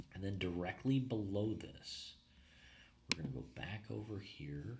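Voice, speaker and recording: With a fairly low pitch, a man speaks in a somewhat breathy voice. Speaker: marketing consultant. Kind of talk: tutorial. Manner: casual, filler-heavy.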